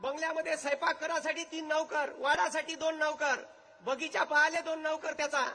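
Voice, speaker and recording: A man projects a raised voice at an extremely high pitch, his tone bright and sharp, with ordinary pitch variation. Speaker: motivational speaker. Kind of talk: public speech. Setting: stage with audience, loudspeaker. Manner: animated.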